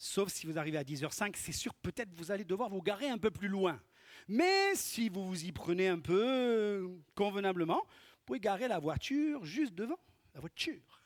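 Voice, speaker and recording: With a slight Corsican accent, a man speaks at a moderate pace in a high voice, his intonation lively and his volume rising and falling sharply. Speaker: pastor. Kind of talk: sermon. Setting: church.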